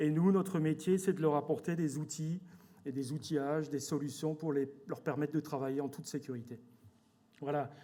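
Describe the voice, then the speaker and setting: With an Alsatian accent, a man talks at a moderate pace in a fairly high pitch and a dark, mellow tone, his intonation fairly even and broken by long, frequent pauses. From Alsace, France. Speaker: company director. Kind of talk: corporate presentation. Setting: stage with audience at awards evening. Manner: hesitant, many fillers and repetitions.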